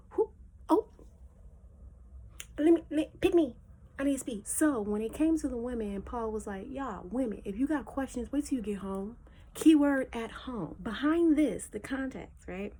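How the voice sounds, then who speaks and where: A woman speaks at a moderate pace and a high pitch, with lively intonation and an animated tone. Her loudness swings widely, and she pauses long and often. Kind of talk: casual Bible teaching.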